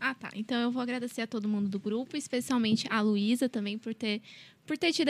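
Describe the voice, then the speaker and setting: Talking at a very fast pace, a woman uses a high pitch and fairly even intonation in a very clean recording with a silent background. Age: 20s. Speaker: law student, volunteer group member. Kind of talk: casual chat.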